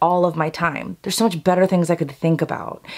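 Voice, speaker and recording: A woman speaks over a quiet background. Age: 30s. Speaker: beauty and lifestyle youtuber. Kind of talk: casual chat to camera. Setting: filmed at home vanity. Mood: warm, encouraging. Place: home room.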